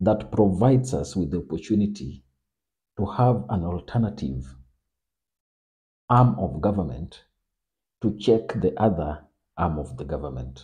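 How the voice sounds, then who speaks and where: With vocal fry and a very deep, low pitch, a man speaks at a fairly slow pace in a dark, mellow tone, his voice making very wide pitch swings over a quiet background. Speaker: political commentator. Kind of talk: political analysis monologue.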